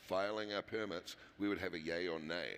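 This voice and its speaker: At a fairly quick pace, a man with a New Zealand accent talks at a fairly low pitch with ordinary pitch variation. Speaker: mining company executive. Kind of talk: panel discussion.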